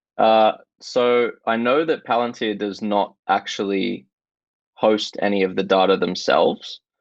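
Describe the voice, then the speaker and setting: Against a quiet background, a man with an Australian accent speaks at a fairly slow pace in a fairly low pitch, with ordinary pitch variation. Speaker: stock market podcaster. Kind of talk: casual discussion.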